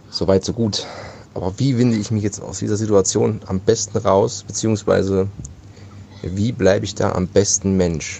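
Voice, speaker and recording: Speaking at a moderate pace, a man has a fairly low pitch and a dark, mellow tone. His voice is somewhat breathy, with fairly even intonation. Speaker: podcast co-host. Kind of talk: casual chat. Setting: remote call. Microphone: echo, reverberant room.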